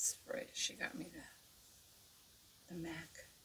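A woman mumbles in a whisper. She speaks at a very slow pace. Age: 70s. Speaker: makeup artist; makeup vlogger. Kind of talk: tutorial. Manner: mumbling; casual, chatty. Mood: relaxed, chatty. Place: home room. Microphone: studio mic.

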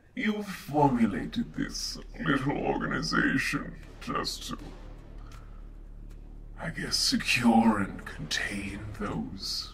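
A man performs a put-on character voice at a very slow pace. Long, frequent pauses break up his speech. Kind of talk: villain monologue. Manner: menacing, contemptuous.

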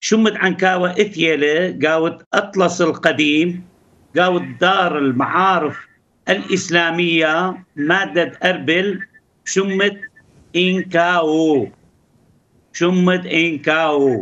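At a very slow pace, a man talks in a high, bright, sharp voice with very even loudness and fairly even intonation. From Iraq, Ankawa near Erbil; Iraq. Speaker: politician and local historian; politician. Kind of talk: interview. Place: home room. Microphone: video call.

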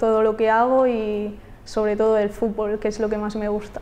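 This is a woman's voice. Her pitch is fairly high. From Catalonia, Spain (near Barcelona). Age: 20s. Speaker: footballer. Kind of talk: interview answers. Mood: friendly, upbeat. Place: studio. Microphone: lapel.

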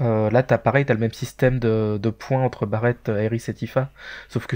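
Over a quiet background, a man with a medium pitch and a dark, mellow tone speaks at a moderate pace in a monotone, flat intonation. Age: 30s. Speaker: gaming community member, podcast panelist. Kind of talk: casual chat.

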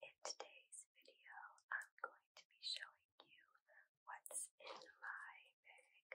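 A woman is whispering at a very slow pace. She leaves long, frequent pauses. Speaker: ASMR creator. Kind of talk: ASMR show-and-tell. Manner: whispered. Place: home room.

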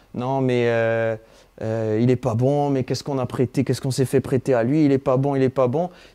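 A man speaks at a fairly quick pace in a dark, mellow tone at medium pitch. His intonation is monotone and flat, and the background is quiet. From Corsica. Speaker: football supporter; football fan interviewing a player. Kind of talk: casual interview. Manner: hesitant, many fillers. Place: home room. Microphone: lapel.

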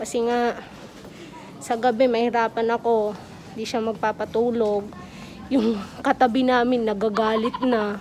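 The delivery is fairly slow and monotone, with flat intonation and light background noise. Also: woman. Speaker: caregiver vlogger. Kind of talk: casual vlog chat. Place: hall. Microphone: phone near.

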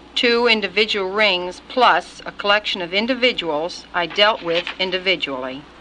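A woman with a plain, everyday voice, medium pitch and ordinary pitch variation, at a moderate pace with hardly any pauses. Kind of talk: recorded congressional testimony.

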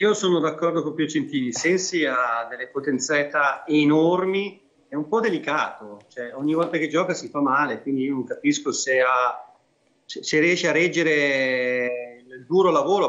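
Using an unremarkable speaking voice, a man talks at a moderate pace with a fairly high pitch and ordinary pitch variation. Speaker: regional politician, football fan; regional politician. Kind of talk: TV football talk show. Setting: remote video link. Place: home room. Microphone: video call.

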